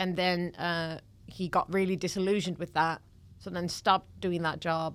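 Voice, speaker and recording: A woman with a Dutch accent, a fairly low pitch, monotone, flat intonation and a moderate pace, in a very clean recording with a silent background. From Netherlands. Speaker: comedian. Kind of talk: casual chat. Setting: studio.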